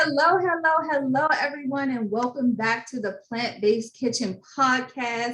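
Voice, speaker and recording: Speaking at a moderate pace with hardly any pauses, a woman has a high pitch and ordinary pitch variation. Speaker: podcast host. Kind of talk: podcast interview questions.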